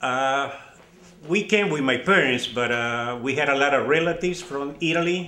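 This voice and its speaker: A man with an Argentine accent amid noticeable background noise and audible room echo. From Argentina, Buenos Aires. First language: Spanish. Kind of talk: interview.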